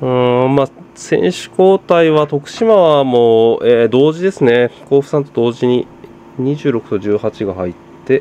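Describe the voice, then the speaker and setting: A man's normal speaking voice, medium in pitch, with lively intonation and a fairly slow pace. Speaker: football commentary youtuber. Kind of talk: casual match watch-along commentary.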